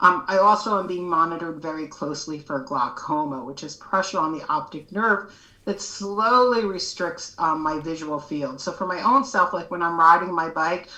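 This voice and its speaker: A woman speaks with hardly any pauses. Noticeable background noise sits behind her. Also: ordinary pitch variation, moderate pace. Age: 60s. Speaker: educator and advocate with low vision. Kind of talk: podcast interview.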